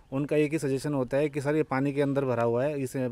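A man talks at a fairly quick pace with a fairly high pitch. His tone is dark and mellow, his intonation monotone and flat. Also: dry sound with no echo. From Delhi, India (village). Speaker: temple committee member; interviewee. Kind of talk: interview. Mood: complaining about civic problems. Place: open country. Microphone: handheld.

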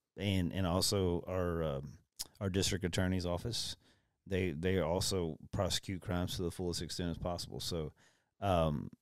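Delivered at a moderate pace, the speech has fairly even intonation and a Texan accent. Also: man, very deep, low pitch for a man. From Texas, Brazoria County. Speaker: county sheriff. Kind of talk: casual interview.

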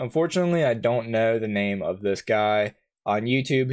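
A quiet background behind a man's speech. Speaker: YouTuber. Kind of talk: commentary. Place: home room.

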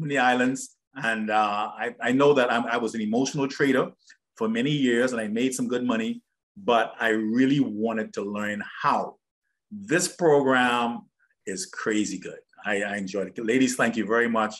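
Against a quiet background, a man's voice moves at a moderate pace, its pitch varying in an ordinary way. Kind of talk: testimonial chat. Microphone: video call.

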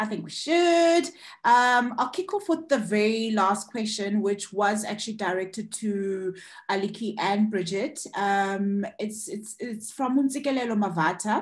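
Somewhat breathy, a woman with a fairly high pitch speaks at a fairly slow pace with lively intonation against a quiet background. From South Africa, Eastern Cape. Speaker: panel moderator, filmmaker; panel moderator. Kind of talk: online panel discussion. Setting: video call. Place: home room. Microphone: video call.

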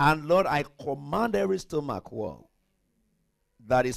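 Animated and at a moderate pace, a man talks with a fairly high pitch and very wide pitch swings against a quiet background. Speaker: pastor. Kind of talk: sermon. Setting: church.

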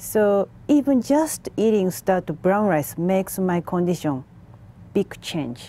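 A woman speaks very slowly in a Japanese accent, her pitch swinging very widely. Her tone is dark and mellow, with a dry sound and no echo. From Japan, Tokyo. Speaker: macrobiotics instructor; guest. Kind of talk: TV interview; interview answer. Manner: halting. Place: studio.

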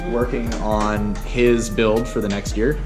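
A fairly slow pace over clear music in the background. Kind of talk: casual vlog commentary. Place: garage. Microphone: phone near.

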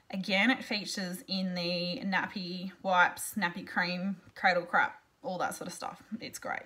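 The speech moves at a fairly slow pace, with ordinary pitch variation and big swings in loudness. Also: woman. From Australia. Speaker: essential oil seller and blogger; essential oil seller, blogger. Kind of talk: tutorial. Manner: casual, chatty with fillers. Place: home room. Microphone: webcam.

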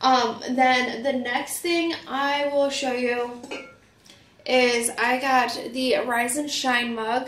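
A woman speaks at a slow pace with a high pitch and a fairly bright tone. Her intonation stays fairly even, and room echo is audible.

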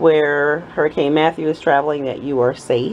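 The speech moves at a moderate pace. Light background noise is present. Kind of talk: casual craft vlog chat. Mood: cheerful, proud. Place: workshop.

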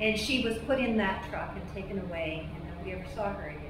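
Amid noticeable background noise and audible room echo, a woman talks at a moderate pace with fairly even intonation. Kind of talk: address to cast and crew, personal story. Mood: earnest, emotional storytelling. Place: stage.

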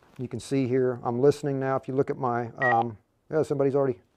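The speech moves at a fast pace with little pitch movement. The tone is slightly mellow. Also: man, medium pitch for a man.

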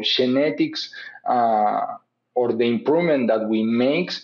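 At a fairly slow pace, a man talks with a Spanish accent. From Uruguay. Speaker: animal genetics professor. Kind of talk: interview. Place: home room. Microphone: webcam.

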